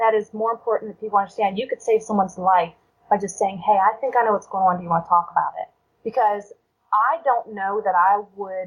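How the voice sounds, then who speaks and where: A woman has an unremarkable speaking voice, set at a medium pitch with ordinary pitch variation. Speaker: domestic violence survivor. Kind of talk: interview answer.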